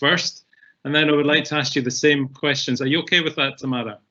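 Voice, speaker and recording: His intonation stays fairly even, and his pitch sits fairly high. The speaker is a man with a Scottish accent. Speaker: webinar moderator. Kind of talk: panel moderation.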